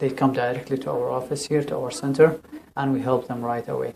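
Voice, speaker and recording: A man speaks with a Syrian accent. His pitch is medium. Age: 30s. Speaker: refugee settlement counselor. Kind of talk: interview. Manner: halting, with repetitions.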